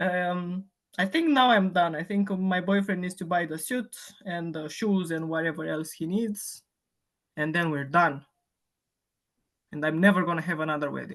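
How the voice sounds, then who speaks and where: A woman with a Romanian accent speaks at a moderate pace and a fairly low pitch with ordinary pitch variation. Her pauses are long and frequent. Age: 30s. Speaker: fitness client. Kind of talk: casual chat.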